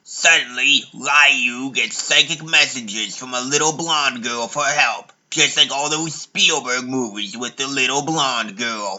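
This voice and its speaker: A man speaks fairly slowly with hardly any pauses. His pitch is medium, with ordinary pitch variation. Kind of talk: parody narration. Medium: fan dub.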